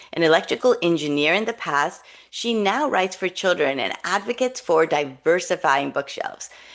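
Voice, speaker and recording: Against a quiet background, a woman with a fairly low pitch speaks in an enthusiastic tone with lively intonation. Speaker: parenting podcast host and children's author. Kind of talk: scripted guest introduction; interview conversation.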